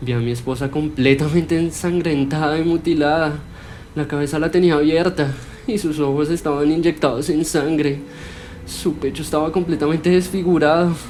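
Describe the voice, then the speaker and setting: A man's voice carries ordinary pitch variation at a moderate pace, with noticeable background noise behind it. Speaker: storyteller. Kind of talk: horror story narration.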